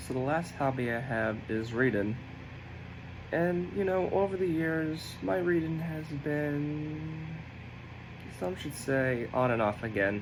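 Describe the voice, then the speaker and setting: Lively intonation is broken up by long, frequent pauses, with audible room echo throughout. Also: man, fairly high pitch for a man. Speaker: college student. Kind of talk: self-introduction video. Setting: dorm room. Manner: halting.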